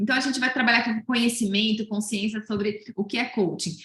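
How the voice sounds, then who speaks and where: A woman speaks at a fairly high pitch. Noticeable background noise sits behind her. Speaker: research presenter at coaching event. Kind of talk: presentation of survey results. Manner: fast; hesitant, many fillers.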